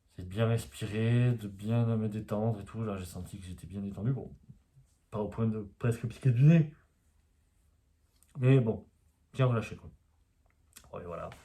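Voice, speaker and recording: A man speaks quietly and fairly slowly, with long, frequent pauses and big swings in loudness. His medium-pitched voice has a dark, mellow, somewhat breathy tone and ordinary pitch variation. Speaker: osteopath and spiritual YouTuber. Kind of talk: casual vlog monologue. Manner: hesitant, many fillers.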